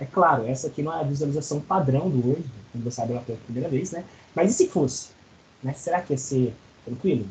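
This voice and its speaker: A somewhat breathy man at a fairly quick pace, with very wide pitch swings. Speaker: college lecturer. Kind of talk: online lecture. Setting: video call class.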